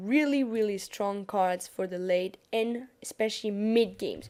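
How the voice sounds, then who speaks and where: A woman talks at a fairly slow pace with a French accent and a dark, mellow tone. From France. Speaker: gaming YouTuber. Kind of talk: gameplay tutorial commentary. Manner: casual, some hesitation.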